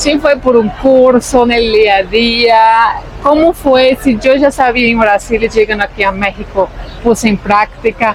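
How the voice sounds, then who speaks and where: A voice with a Brazilian accent keeps a very even loudness while crowd noise sounds in the background. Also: woman, fairly high pitch for a woman, ordinary pitch variation, fairly slow pace. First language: Portuguese (speaking Spanish). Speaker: vlogger. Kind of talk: casual chat.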